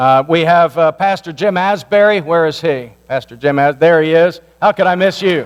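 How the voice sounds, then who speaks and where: A man with an American accent speaks at a high pitch with ordinary pitch variation. His loudness stays very even. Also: moderate pace. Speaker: pastor. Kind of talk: community meeting address. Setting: church meeting with microphone.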